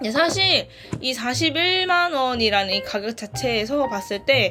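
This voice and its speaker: A woman's high-pitched, raised and projected voice in a Gyeongsang accent, with very wide pitch swings and music in the background. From Gyeongsang region, South Korea. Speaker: e-reader reviewer. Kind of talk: casual product review to camera. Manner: high-energy, may sound irritated.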